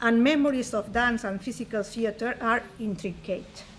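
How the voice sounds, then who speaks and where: A woman speaks in a Spanish accent at a moderate pace. Her pitch is fairly high, with ordinary variation. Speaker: conference presenter. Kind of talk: academic conference talk. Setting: conference stage with audience. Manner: formal.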